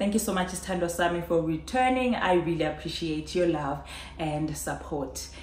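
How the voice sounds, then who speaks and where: Audible room echo surrounds a woman speaking. Her fairly low voice has ordinary pitch variation. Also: moderate pace. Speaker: vlogger. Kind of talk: casual vlog chat. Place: home room.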